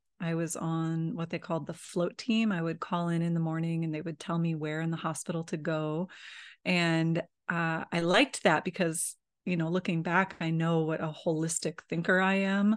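In a Midwestern American accent, a woman speaks at a fairly low pitch and a moderate pace, with monotone, flat intonation over a quiet background. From US Midwest. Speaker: holistic nurse and massage therapist. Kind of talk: casual interview.

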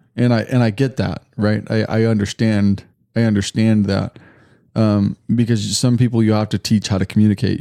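In a very clean recording with a silent background and a dry, close sound with no echo, a man talks at a fairly quick pace in a dark, mellow tone with monotone, flat intonation. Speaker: Bible teacher. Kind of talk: casual chat.

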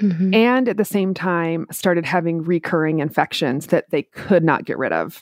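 In a plain, everyday voice with an American accent, a woman speaks fairly slowly at a medium pitch on a very clean recording with a silent background and a dry, close sound with no echo. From US Midwest, Minneapolis. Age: 40s. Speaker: entrepreneur with chronic illness. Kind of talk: personal testimony in interview.

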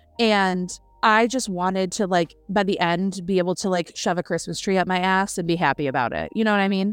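A woman in an ordinary speaking voice, medium in pitch with ordinary pitch variation, at a fairly quick pace, in a very clean recording with a silent background. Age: 30s. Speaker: book podcast co-host. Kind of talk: casual chat.

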